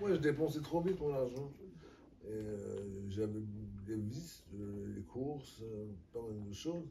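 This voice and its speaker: A man with a dark, mellow, somewhat breathy tone and lively intonation speaks very slowly, with long, frequent pauses. Room echo is audible. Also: medium pitch for a man. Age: 60s. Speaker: person under legal guardianship. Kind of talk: interview testimony. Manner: halting, many hesitations.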